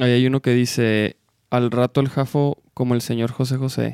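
A man's medium-pitched voice with a dry, close sound and no echo. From Chihuahua, Mexico. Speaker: podcast host. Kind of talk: casual chat. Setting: live stream. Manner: informal, slangy.

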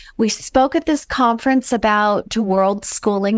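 In a very clean recording with a silent background, a woman speaks at a fairly slow pace. She has a plain, everyday voice, fairly high in pitch, with ordinary pitch variation. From US West Coast, Los Angeles. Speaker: author and alternative education advocate. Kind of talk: interview storytelling.

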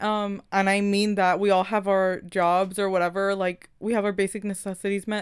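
In a very clean recording with a silent background, a woman with an American accent speaks at medium pitch in a monotone, flat way. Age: 20s. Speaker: podcast co-host. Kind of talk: casual chat.

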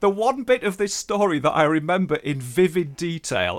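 This man's voice moves through very wide pitch swings at a moderate pace. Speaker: writer and broadcaster. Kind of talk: casual interview chat. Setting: spare room, remote recording.

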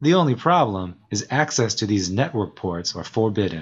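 A man's fairly low, somewhat breathy voice at a moderate pace against a quiet background. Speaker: narrator and show creator. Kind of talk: scripted narration.

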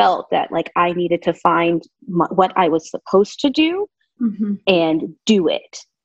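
A woman with an American accent speaks at a medium pitch and a fairly slow pace, in a normal speaking voice. The sound is dry and close, with no echo. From Southern California. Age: 30s. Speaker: interior designer. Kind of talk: casual chat.

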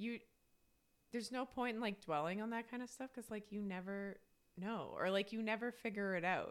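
A woman's normal speaking voice, fairly high in pitch, at a fairly quick pace. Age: 30s. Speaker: podcast co-host. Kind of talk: casual chat.

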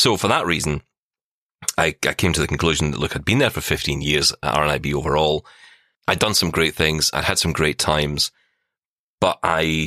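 A man with a Scottish accent, very deep and low in pitch, with vocal fry and a bright, sharp tone, fairly even intonation, a fairly quick pace broken by long, frequent pauses, on a very clean recording with a silent background. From Scotland. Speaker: podcaster, former radio worker, blind tech presenter. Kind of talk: casual interview chat.

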